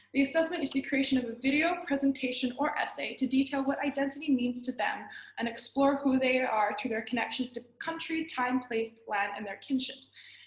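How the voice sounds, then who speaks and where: Ordinary pitch variation, a fairly quick pace, and noticeable background noise. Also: woman, high pitch for a woman. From Australia, then China from age nine. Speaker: student teacher. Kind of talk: class presentation. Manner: halting, with frequent restarts.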